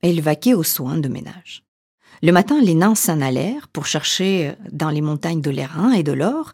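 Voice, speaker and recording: Delivering in a theatrical, dramatic tone, a woman speaks at a fairly slow pace with lively intonation. Her voice is fairly low in pitch, with a dark, mellow tone. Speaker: storyteller and coach. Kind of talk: fairy tale narration, read aloud in a storytelling voice. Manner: slow, measured, theatrical storyteller with dramatic emphasis; warm and intimate, addressing listener as tu.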